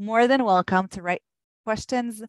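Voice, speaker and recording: Recorded with a dry, close sound, no echo and a quiet background, a woman speaks at a moderate pace with fairly even intonation. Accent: Israeli. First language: Hebrew. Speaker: government program manager. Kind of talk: webinar presentation. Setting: online webinar. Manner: hesitant, many fillers.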